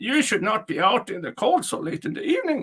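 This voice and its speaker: At an extremely high pitch, a man does a gravelly, put-on character voice at a fairly quick pace with very wide pitch swings. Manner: coaxing, friendly.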